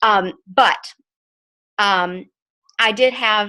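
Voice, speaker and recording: With an American accent, a woman speaks in a bright, sharp tone. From Texas, north Texas. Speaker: network marketing ambassador giving testimony. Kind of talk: testimony. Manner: halting, stuttering.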